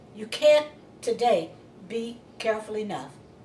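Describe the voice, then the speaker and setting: A woman speaks at a fairly slow pace with lively intonation. The room echo is audible, and there is light background noise. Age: old. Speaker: crime victim, widow. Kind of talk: interview answer. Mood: earnest, cautionary. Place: home room.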